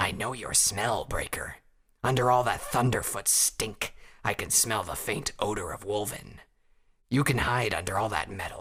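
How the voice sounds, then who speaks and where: Putting on a character voice, a man sounds raspy at a medium pitch and a moderate pace. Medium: read story.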